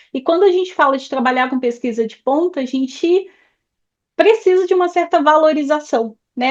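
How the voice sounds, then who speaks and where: A woman speaks fairly quickly with a high pitch and lively intonation. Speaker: education mentor, interviewer. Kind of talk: interview.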